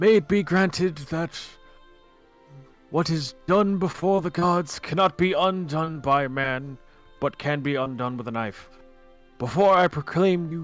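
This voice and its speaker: Putting on a character voice, a man speaks at a fairly high pitch and a moderate pace while faint music plays in the background. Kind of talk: solemn ceremonial.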